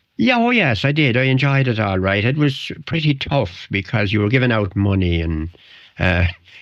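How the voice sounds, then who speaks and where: Lively intonation from a man with a strong Wicklow accent, medium in pitch, at a moderate pace with very even loudness. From Ireland, West Wicklow. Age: old. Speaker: retired local columnist and sports historian. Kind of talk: radio interview, reminiscing. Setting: radio studio. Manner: halting, repeats words.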